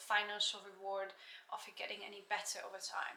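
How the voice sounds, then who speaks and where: Speaking at a moderate pace, a woman has a bright, sharp tone. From Slovakia, near the Hungarian border. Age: 20s. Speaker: yoga teacher. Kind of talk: casual vlog chat. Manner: halting, with frequent fillers.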